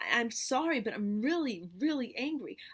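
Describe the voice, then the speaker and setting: Lively intonation from a woman with a high voice. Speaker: activist vlogger. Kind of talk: angry vlog rant. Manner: loud; halting, repetitive.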